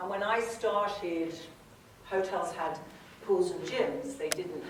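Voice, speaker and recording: At a very slow pace, a woman speaks with ordinary pitch variation. Noticeable background noise and audible room echo fill the recording. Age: 70s. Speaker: spa company founder. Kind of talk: talk to an audience. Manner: conversational.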